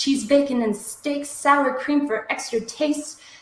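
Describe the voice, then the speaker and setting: In a room with audible echo, a woman with a Minnesotan accent talks at a fairly slow pace. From US Midwest, Minnesota. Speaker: slam poet. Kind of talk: poetry performance. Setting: live stream.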